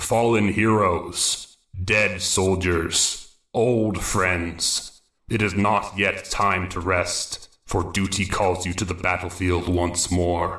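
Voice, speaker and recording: A man puts on a character voice, booming and resonant, very deep and low, monotone and flat. He speaks at a very slow pace with a slight echo. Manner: overwhelming, solemn.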